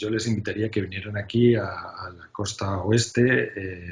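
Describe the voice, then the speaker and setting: A man's somewhat breathy voice of medium pitch. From Spain. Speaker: UX design executive. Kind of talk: interview. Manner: hesitant, many filler sounds.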